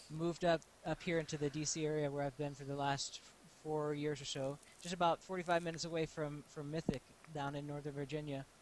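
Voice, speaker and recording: A man talks at a very fast pace in a fairly high voice. His intonation stays monotone and flat while his loudness swings widely. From US, Texas. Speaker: live stream co-host. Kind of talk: casual chat. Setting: live online stream.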